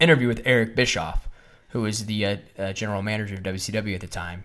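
Fairly even in intonation, a normal speaking voice moves along at a fairly quick pace. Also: man. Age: 30s. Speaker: wrestling podcast host. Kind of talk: casual chat.

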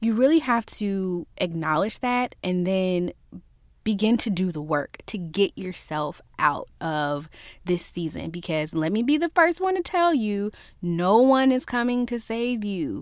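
A woman of medium pitch with an American accent, at a fairly slow pace with very wide pitch swings, in a very clean recording with a silent background. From Virginia, US South. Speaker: faith podcast host. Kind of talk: inspirational solo podcast talk. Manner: casual, conversational.

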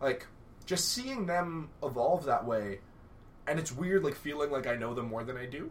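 This man talks at a moderate pace with ordinary pitch variation. His pitch is fairly high, and there is noticeable background noise. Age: 20s. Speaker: pro wrestler. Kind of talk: casual chat. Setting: studio.

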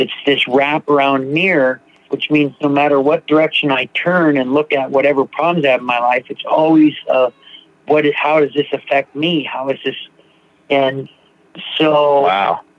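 With a plain, everyday voice, a man speaks in a fairly high pitch and fairly even intonation. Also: moderate pace. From US Pacific Northwest, Seattle. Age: 50s. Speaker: recovering alcoholic sharing his story. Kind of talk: testimony.

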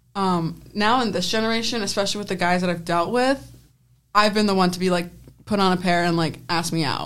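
A woman with an American accent talks at medium pitch and a fairly quick pace with ordinary pitch variation, in a room with audible echo. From US, Penfield, New York. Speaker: student sports photographer. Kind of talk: casual chat.

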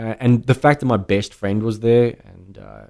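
At a moderate pace, a man talks with fairly low pitch and ordinary pitch variation. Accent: South African. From South Africa. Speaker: brandy sales manager. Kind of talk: casual chat.

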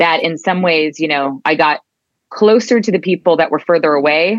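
At a moderate pace, a woman speaks at a fairly low pitch with ordinary pitch variation. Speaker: advertising creative executive. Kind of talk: casual interview. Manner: hesitant, repeats words.

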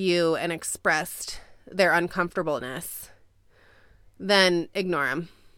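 A woman with an American accent has a fairly low pitch and an unremarkable speaking voice. She talks at a fairly slow pace in a very clean recording with a silent background. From California. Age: 20s. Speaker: podcast guest. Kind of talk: casual chat. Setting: closet with blankets, traveling setup.

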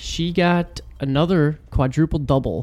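This man has an unremarkable speaking voice pitched fairly high. His pitch varies in an ordinary way. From Texas, born there but moved at age two. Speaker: sports podcast co-host. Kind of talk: casual chat.

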